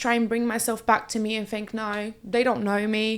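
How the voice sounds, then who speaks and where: In a very clean recording with a silent background, a woman with a Portuguese accent speaks at a moderate pace, with a fairly high pitch and fairly even intonation. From Brazil. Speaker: reality TV contestant. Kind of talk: podcast interview.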